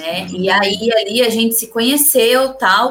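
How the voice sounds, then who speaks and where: A woman's fairly high pitch shows ordinary variation as she talks in an ordinary speaking voice. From interior São Paulo state, Brazil. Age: 30s. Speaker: entrepreneur, networking group leader. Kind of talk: live-stream interview.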